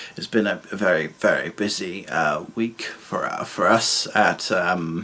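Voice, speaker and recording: With noticeable background noise behind him, a man talks at a fairly slow pace. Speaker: student vlogger. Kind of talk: video diary vlog. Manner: halting, many fillers.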